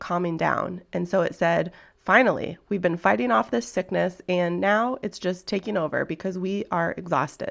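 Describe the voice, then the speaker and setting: A woman's medium-pitched voice with vocal fry, ordinary pitch variation and a moderate pace, over a quiet background. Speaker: health and productivity podcaster. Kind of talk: solo podcast talk. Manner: casual, conversational.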